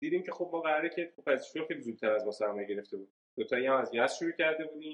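Very fast, lively-intoned speech from a man with a fairly high pitch. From Iran, Yazd. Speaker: startup founder and CEO. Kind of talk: interview conversation.

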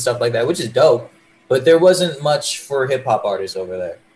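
The speaker is a man with a medium pitch. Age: 20s. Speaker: rapper. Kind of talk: casual chat. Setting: video call. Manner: animated.

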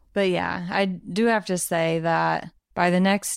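A woman with a slight Southern US accent speaks at a very slow pace on a very clean recording with a silent background. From Arkansas. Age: 30s. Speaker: podcast co-host, new parent. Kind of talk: casual chat. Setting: home living room. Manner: quiet.

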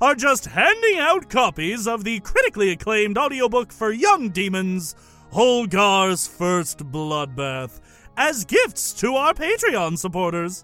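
A man puts on a character voice pitched high, speaking at a fairly slow pace. Faint music plays in the background. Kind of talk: comic overacting. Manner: grandiose, condescending, mock-polite.

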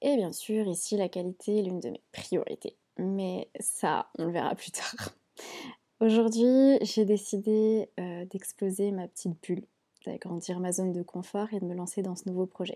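A woman talks at a fairly slow pace and medium pitch, her intonation fairly even. Her tone is dark and mellow. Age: 20s. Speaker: beauty salon owner. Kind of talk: solo podcast monologue.

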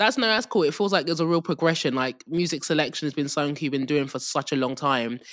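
A man at a fairly high pitch, very fast pace with hardly any pauses and ordinary pitch variation, on a very clean recording with a silent background. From London and Essex, England. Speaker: podcast host and DJ. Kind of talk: interview conversation.

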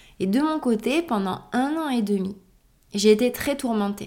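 A woman with a dark, mellow tone speaks at a moderate pace on a very clean recording with a silent background. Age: 30s. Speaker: podcast host and yoga teacher. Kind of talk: solo reflective monologue. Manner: hesitant, with fillers and repetitions.

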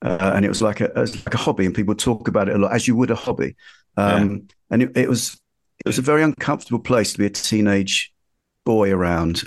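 A man with a London accent, fairly low pitch, ordinary pitch variation, very even loudness and a very fast pace. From East London (Ilford). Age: 50s. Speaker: magazine editor and journalist. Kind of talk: casual chat. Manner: halting.

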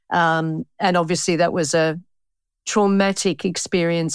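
A woman with an Australian accent, a fairly low pitch and a moderate pace, on a very clean recording with a silent background. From Australia, Melbourne (Pascoe Vale). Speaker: bookkeeper and author. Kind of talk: interview.

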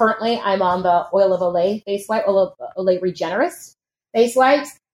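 With an unremarkable speaking voice, a woman talks fairly quickly at a fairly high pitch and with ordinary pitch variation. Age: 30s. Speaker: fitness instructor. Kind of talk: casual chat.

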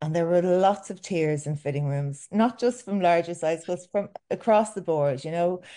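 A woman's dark, mellow tone at a fairly low pitch, lively in intonation, delivered at a moderate pace against a quiet background. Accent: Irish. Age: 40s. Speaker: milliner and fashion boutique owner. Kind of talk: casual interview chat. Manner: halting with frequent fillers and repetitions.

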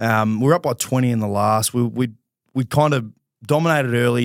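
At a fairly quick pace, a man with an Australian accent speaks at medium pitch with ordinary pitch variation, the sound dry and close with no echo. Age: 30s. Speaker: professional footballer. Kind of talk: casual chat. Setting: studio.

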